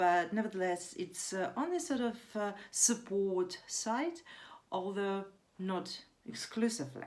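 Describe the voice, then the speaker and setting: In a non-native accent, a woman speaks fairly slowly at a medium pitch with lively intonation. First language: not English. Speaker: vlogger. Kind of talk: casual monologue vlog. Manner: hesitant, many fillers.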